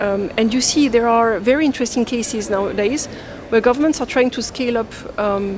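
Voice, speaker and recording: Noticeable background noise surrounds a woman with a fairly high pitch. She talks at a fairly quick pace with ordinary pitch variation. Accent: French. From France. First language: French. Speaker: development finance expert. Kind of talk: fireside chat panel discussion.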